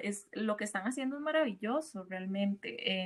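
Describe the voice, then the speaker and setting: A woman speaks at a moderate pace. Her voice is fairly high and somewhat breathy. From Costa Rica. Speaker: podcast host. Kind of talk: interview.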